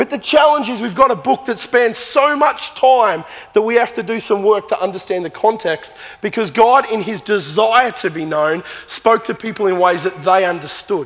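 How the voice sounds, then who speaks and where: Against noticeable background noise, a man with an Australian accent speaks at a moderate pace in a high pitch with lively intonation. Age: 40s. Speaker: pastor. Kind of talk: sermon. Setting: church.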